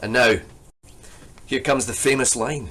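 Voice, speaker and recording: A man's bright, sharp voice at medium pitch, with vocal fry and a Scottish accent. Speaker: poetry lecturer. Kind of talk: lecture with poetry reading.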